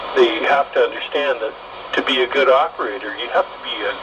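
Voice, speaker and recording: At a moderate pace, a man talks with background noise noticeable throughout. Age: 60s. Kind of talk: casual radio conversation.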